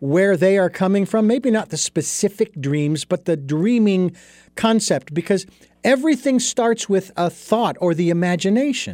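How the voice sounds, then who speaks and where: In a very clean recording with a silent background and a dry, close sound with no echo, a dark, mellow voice with an American accent speaks at a fairly slow pace, with very even loudness and ordinary pitch variation. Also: man. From Arizona. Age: 60s. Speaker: podcast host. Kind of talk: interview.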